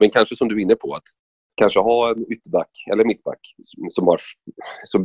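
The sound is close and dry, without any echo. A man delivers his words at a moderate speed. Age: 30s. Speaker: radio sports commentator and former footballer. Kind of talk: podcast interview.

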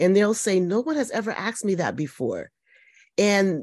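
A woman has an American accent and a normal speaking voice at a medium pitch. She talks at a moderate pace with ordinary pitch variation over a quiet background. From Connecticut, US. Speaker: nursing professor and midwife. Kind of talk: interview conversation.

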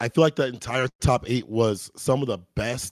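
The recording is very clean, with a silent background and a dry, close sound free of echo. A man speaks at a medium pitch with fairly even intonation. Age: 30s. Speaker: fighting game commentator. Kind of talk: casual chat. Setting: live stream.

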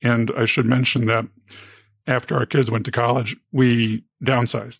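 An unremarkable speaking voice from a man, medium in pitch with fairly even intonation, dry and close with no echo, in a very clean recording over a silent background. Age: 50s. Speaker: early retiree. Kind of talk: interview.

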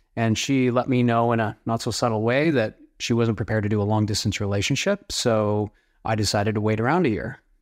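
A man with a Canadian accent and a normal speaking voice talks at a fairly quick pace, with fairly even intonation and very even loudness. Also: medium pitch for a man. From Canada (small town, prairies). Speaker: entrepreneur. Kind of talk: interview.

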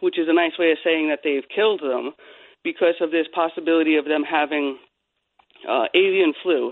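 At a moderate pace, a woman speaks with very deep, low pitch and fairly even intonation. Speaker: animal welfare advocate. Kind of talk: radio talk show discussion.

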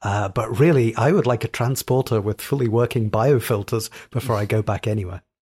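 At a fairly quick pace, a man talks in a somewhat breathy voice with ordinary pitch variation and a dry, close sound with no echo. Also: medium pitch for a man. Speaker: app developer. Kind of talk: casual chat.

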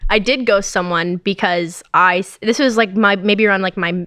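A woman speaks at a fairly quick pace in a plain, everyday voice. Her pitch is medium and her intonation fairly even. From Canada. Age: 20s. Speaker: esports gamer. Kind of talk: casual chat.

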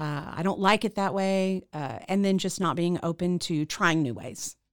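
On a very clean recording with a silent background, a woman with a plain, everyday voice and an American accent talks at a moderate pace, her fairly low pitch showing ordinary variation. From Central Texas. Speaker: radio host and theater founder. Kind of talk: interview.

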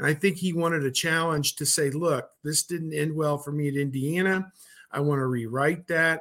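Moderate pacing and fairly even intonation in a plain, everyday voice. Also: man. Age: 50s. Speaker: sports journalist. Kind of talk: casual chat.

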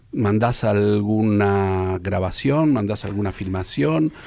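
On a very clean recording with a silent background, a man with a fairly low pitch speaks at a very slow pace with lively intonation. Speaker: radio host. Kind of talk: radio interview.

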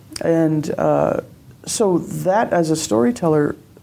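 Her voice carries a dark, mellow tone. This woman speaks at a very deep, low pitch. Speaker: game designer and storyteller. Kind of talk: interview. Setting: hotel suite at a conference.

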